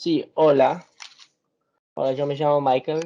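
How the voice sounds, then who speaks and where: A man with an English accent speaks at a fairly high pitch in a monotone, flat intonation. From United States. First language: English (speaking Spanish). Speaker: research assistant. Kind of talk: presentation. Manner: halting.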